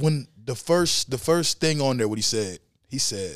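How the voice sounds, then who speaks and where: This man talks at a moderate pace with an American accent. He has an ordinary speaking voice and lively intonation. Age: 20s. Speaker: podcast host. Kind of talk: casual chat.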